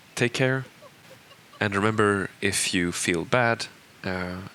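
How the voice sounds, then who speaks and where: A man with a Swedish accent speaks very slowly at a fairly low pitch, with ordinary pitch variation and noticeable background noise. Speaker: game creative director. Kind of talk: audio commentary. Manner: halting, many fillers.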